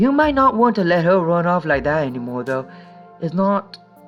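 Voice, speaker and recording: Music plays in the background as a man talks. He speaks at a moderate pace with lively intonation. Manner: speech impairment with R sounds.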